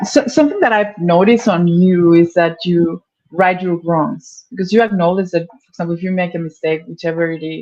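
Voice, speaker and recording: Speaking fairly quickly with hardly any pauses, a woman uses a fairly low, dark, mellow voice with ordinary pitch variation and big swings in loudness. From Mexico. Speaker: spiritual streamer. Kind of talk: casual chat.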